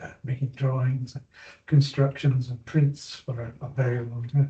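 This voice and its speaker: A man with a Scottish accent speaks fairly slowly in a dark, mellow tone, somewhat breathy and in a monotone, flat intonation. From Scotland, Clackmannanshire. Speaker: abstract painter. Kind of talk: panel discussion.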